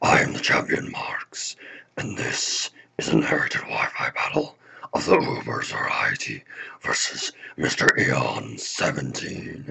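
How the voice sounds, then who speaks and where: At a moderate pace, a man uses a raspy, put-on character voice. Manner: theatrical, sinister.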